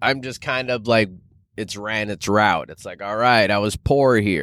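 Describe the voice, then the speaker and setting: A man speaks at a fairly slow pace in an animated tone. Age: 30s. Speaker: podcast host and food delivery driver. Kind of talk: casual monologue. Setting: in a car while doing deliveries. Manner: laid-back and animated with frequent laughter.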